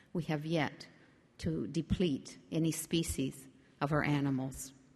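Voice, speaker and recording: With a Canadian Arctic accent, a woman with a very deep, low pitch speaks at a fairly slow pace with fairly even intonation against a quiet background. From Arctic Quebec (Nunavik), Canada. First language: Inuktitut. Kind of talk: public speech. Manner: formal.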